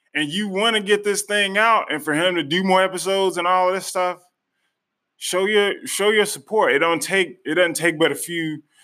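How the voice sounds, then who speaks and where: In a very clean recording with a silent background, a man uses a raised, projected voice with a bright, sharp tone, ordinary pitch variation and a moderate pace. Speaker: author and podcaster interviewing the host. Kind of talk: casual interview chat. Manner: animated, enthusiastic.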